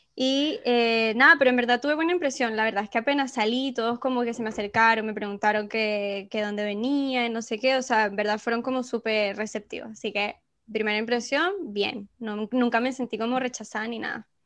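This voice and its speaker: A woman's fairly high voice at a fairly quick pace, with hardly any pauses and fairly even intonation, on a very clean recording with a silent background. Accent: Venezuelan. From Venezuela. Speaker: podcast host. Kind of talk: casual chat.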